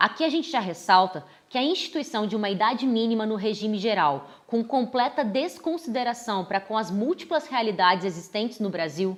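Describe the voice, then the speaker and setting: A woman talks at a fairly quick pace with hardly any pauses. Her fairly high pitch swings very widely. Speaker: law professor. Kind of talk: explainer monologue. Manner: formal.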